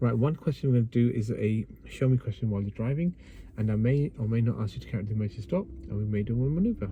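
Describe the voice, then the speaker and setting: The speaker talks at a very fast pace in a West Yorkshire accent. The tone is dark and mellow, somewhat breathy, with ordinary pitch variation. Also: man, medium pitch for a man. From northern England, Bradford, West Yorkshire. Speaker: driving instructor. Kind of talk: driving lesson instruction. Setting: in a car.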